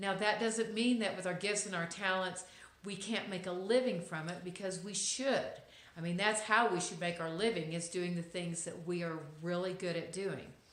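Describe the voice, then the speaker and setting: At a moderate pace and with fairly even intonation, the speaker talks in an American accent amid noticeable background noise and audible room echo. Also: woman, medium pitch for a woman. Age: middle-aged. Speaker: lifestyle vlogger. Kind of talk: inspirational monologue to camera. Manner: hesitant, many fillers.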